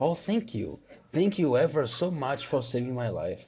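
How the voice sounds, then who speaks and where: A man puts on a squeaky character voice at a fairly high pitch. He talks at a moderate pace. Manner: grateful, earnest.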